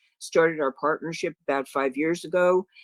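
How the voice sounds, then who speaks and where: The speaker talks with a New York accent at a moderate pace. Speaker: records management consultant. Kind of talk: webinar presentation.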